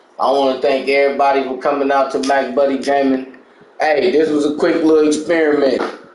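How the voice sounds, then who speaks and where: A man talks fairly quickly, with audible room echo and noticeable background noise around him. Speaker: gaming channel host and discussion host. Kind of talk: casual chat. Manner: animated; loud.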